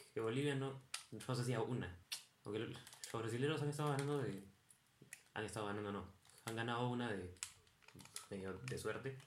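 The speech moves at a moderate pace with long, frequent pauses, over noticeable background noise. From Peru. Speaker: podcast co-host. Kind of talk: casual chat while gaming. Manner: animated.

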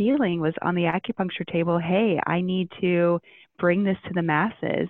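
A woman with an American accent speaks at a moderate pace, her voice fairly low with fairly even intonation. Hers is a plain, everyday voice. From US Midwest (Ohio). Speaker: integrative medicine doctor. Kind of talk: interview.

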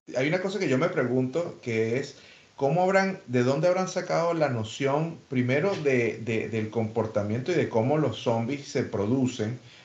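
A man at medium pitch with lively intonation, moderate pace and audible room echo. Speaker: podcast co-host. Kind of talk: casual chat.

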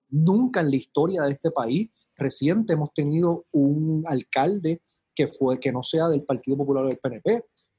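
Somewhat breathy and dark, mellow in tone, this man's voice sits fairly high in pitch with ordinary pitch variation. He speaks at a moderate pace, and the sound is dry and close with no echo. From Puerto Rico, San Juan metro area. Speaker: politician, mayoral candidate. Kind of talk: casual interview.

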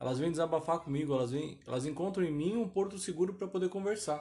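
A man speaks at a fairly quick pace in a fairly high pitch, his tone dark and mellow. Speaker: podcast host. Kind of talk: casual monologue. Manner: rambling, self-interrupting.

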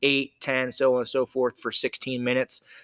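A man with an American accent and a fairly high pitch speaks in a normal speaking voice, captured in a very clean recording, silent background. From southeastern Pennsylvania. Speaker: nonprofit founder in addiction recovery. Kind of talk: casual interview. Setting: CrossFit gym, face to face.

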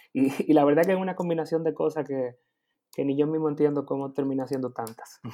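A man speaks at a fairly quick pace in a fairly high pitch, his dark, mellow tone carried on fairly even intonation. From Dominican Republic. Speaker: advertising copywriter and illustrator. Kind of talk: interview conversation.

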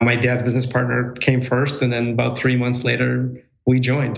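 A man's voice carries audible room echo. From former Soviet Union, moved to Milwaukee at 10. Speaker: real estate developer. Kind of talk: interview.

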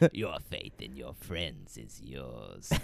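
In a put-on character voice, a man growls with a very deep, low pitch and a menacing tone. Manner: menacing, taunting.

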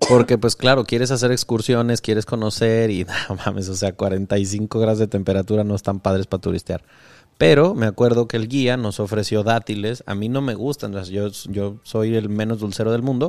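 A man with a Mexican accent, medium pitch, fairly even intonation and a moderate pace. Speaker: podcast host. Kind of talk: casual interview chat.

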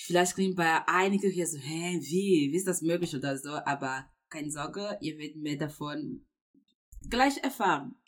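With a non-native accent and a fairly low pitch, a woman speaks at a moderate pace, her intonation lively and her loudness swinging widely. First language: not German (speaking German). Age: 20s. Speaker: university student. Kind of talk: casual faith conversation. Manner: hesitant, many fillers.

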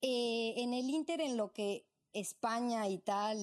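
A woman's voice with ordinary pitch variation. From Mexico City, born in Morelia. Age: 30s. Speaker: entrepreneur and traveler. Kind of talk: interview conversation. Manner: animated.

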